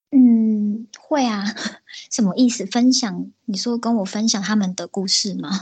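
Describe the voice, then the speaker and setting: A woman talks fairly slowly in a somewhat breathy voice whose intonation stays fairly level. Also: fairly high pitch for a woman. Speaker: illustrator. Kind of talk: casual interview chat.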